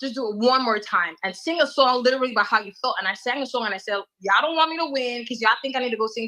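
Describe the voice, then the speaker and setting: Speaking at a very fast pace, a woman with an American accent has a bright, sharp tone. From US Virgin Islands. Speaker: calypso and soca singer. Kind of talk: interview.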